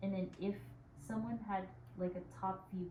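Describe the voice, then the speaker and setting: A woman's calm, soothing voice at medium pitch and moderate pace, with audible room echo. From Philippines. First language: bilingual Tagalog and English. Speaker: yoga instructor. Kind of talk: guided yoga class instruction.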